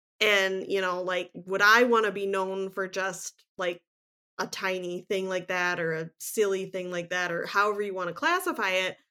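This woman has an ordinary speaking voice, pitched in the medium range and spoken at a moderate pace with fairly even intonation. The recording is very clean, with a silent background. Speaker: podcast co-host. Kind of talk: casual chat.

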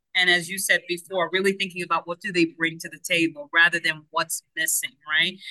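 Bright and sharp in tone, a voice with a Spanish accent runs at a fairly quick pace with hardly any pauses, flat monotone intonation and big swings in loudness, in a dry, close sound without echo. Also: woman, fairly low pitch for a woman. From Cuba. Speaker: education consultant. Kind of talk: interview conversation.

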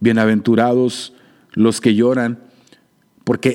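At a very slow pace, a man speaks in a dark, mellow tone at a medium pitch. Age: 40s. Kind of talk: solo theological reflection podcast. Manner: hesitant with fillers and repetitions.

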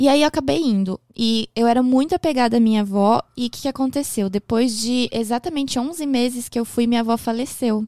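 Recorded very cleanly against a silent background, the sound dry and close with no echo, a woman speaks at high pitch with ordinary pitch variation. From Japan, raised by a Brazilian family from Porto Alegre. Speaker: makeup artist and podcaster. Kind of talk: casual interview chat.

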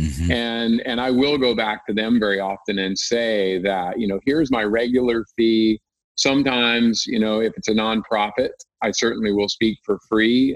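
A man with an ordinary speaking voice talks at a medium pitch and moderate pace, his intonation fairly even. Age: 50s. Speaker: ultra runner, author and keynote speaker. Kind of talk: interview.

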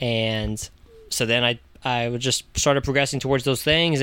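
A man's bright, sharp voice in an American accent, medium-pitched with fairly even intonation. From Virginia Beach, Virginia, US. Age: 20s. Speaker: former tire shop manager turned traveler. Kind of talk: casual chat. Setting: converted school bus.

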